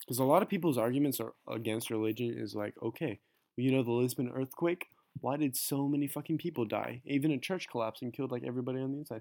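Very fast delivery in a dark, mellow tone. The pitch moves in an ordinary way, and the sound is dry and close with no echo. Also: man, medium pitch for a man. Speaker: podcast co-host. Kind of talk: casual chat.

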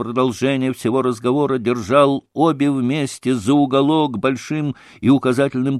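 An unforced reading voice, its intonation fairly even.

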